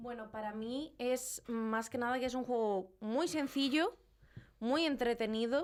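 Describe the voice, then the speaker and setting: With a high pitch, a woman delivers her words fairly slowly. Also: ordinary pitch variation. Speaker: video game commentator. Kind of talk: radio interview.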